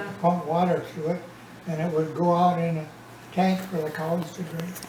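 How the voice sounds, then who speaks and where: A man speaks at a moderate pace with an Upper Midwest accent, his pitch high and his intonation monotone and flat. Background noise is noticeable. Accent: Upper Midwest American. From Minnesota. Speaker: retired farmer. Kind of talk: family storytelling interview.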